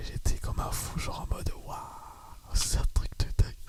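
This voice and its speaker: A man whispers over noticeable background noise. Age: 20s. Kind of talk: casual talk to camera. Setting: home studio microphone. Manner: whispered, soft-spoken.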